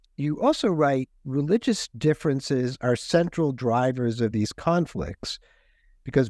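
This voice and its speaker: Speaking with an American accent, a man at medium pitch talks at a fairly slow pace. His tone is dark and mellow, and the sound is dry and close with no echo. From United States. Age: 60s. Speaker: podcast host. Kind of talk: interview.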